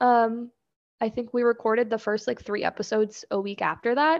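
With an American accent and an unremarkable speaking voice, a woman talks at a moderate pace in a fairly high pitch. The background is quiet. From Kansas. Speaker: clothing designer and podcaster. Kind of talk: casual chat.

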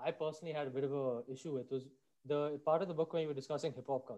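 The man's voice sits fairly high. Its pitch moves in an ordinary way. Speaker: podcast host. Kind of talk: interview.

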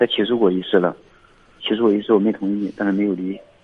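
The man's intonation stays monotone and flat. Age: 30s. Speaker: caller. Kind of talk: call-in advice talk. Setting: phone call. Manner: halting.

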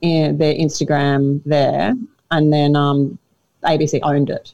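Her voice sits very deep and low. She talks with an Australian accent. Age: 30s. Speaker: comedian and former radio host. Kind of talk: casual chat.

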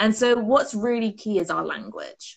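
A woman speaks with a British accent. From UK. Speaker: performance mindset coach. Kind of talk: casual interview chat.

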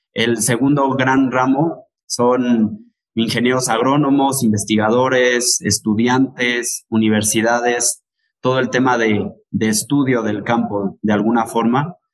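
At a very slow pace, a man speaks in a medium pitch with fairly even intonation and very even loudness. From Mexico, Teziutlán, Puebla. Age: 20s. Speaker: lime grower and marketer. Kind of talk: interview.

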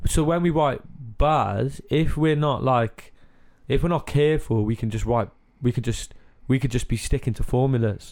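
Recorded very cleanly against a silent background, a man talks at a moderate pace with a medium pitch and ordinary pitch variation. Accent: Cardiff. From Cardiff, Wales. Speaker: musician interviewer.

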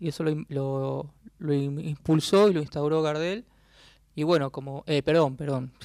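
In an ordinary speaking voice, a man with a fairly high pitch talks at a fairly slow pace with fairly even intonation. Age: 40s. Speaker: journalist and author. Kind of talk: radio interview.

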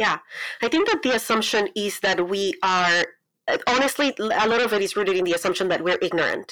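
A woman speaks with a Colombian accent at a fairly high pitch and a fairly quick pace. Her intonation is lively while her loudness stays very even. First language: Spanish. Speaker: pastor and writer. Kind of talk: interview conversation. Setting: video call.

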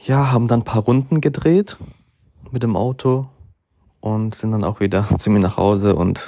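This man has a dark, mellow tone and a fairly low pitch. He moves at a moderate pace with long, frequent pauses. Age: 20s. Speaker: podcast host. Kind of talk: casual monologue. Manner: hesitant, many fillers.

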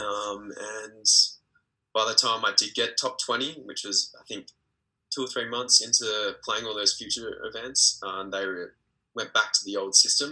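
A man with an Australian accent speaks at a fairly slow pace, his loudness swinging widely. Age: 20s. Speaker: professional tennis player. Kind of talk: interview.

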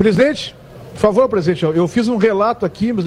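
A man speaks with lively intonation. Noticeable background noise runs under his voice. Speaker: sports radio host. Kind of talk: live radio talk show. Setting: live radio broadcast from a bar.

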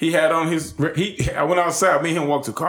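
A man's voice with vocal fry. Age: 30s. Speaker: support services CEO. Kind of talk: casual chat.

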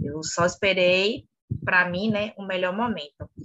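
A woman speaks at a fairly slow pace. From Bahia, Brazil (Salvador). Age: 30s. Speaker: clothing store owner. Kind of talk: interview.

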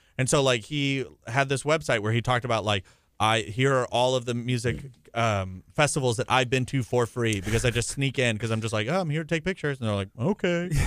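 Here is a normal speaking voice from a man at medium pitch, with ordinary pitch variation and a fairly quick pace. The recording is very clean, with a silent background. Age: 20s. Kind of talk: radio interview. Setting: radio studio.

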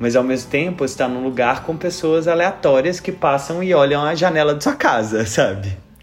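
Over noticeable background noise, a man talks with a fairly high pitch and lively intonation. His pace is moderate, with hardly any pauses. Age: 30s. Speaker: podcast host and YouTuber. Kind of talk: casual chat; scripted intro. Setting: at home.

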